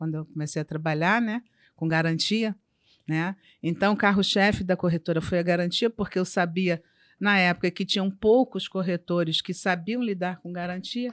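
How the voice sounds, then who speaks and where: A woman with an unremarkable speaking voice talks at a moderate pace and medium pitch, her intonation fairly even, in a very clean recording with a silent background and a dry, close sound with no echo. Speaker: insurance broker. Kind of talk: casual interview.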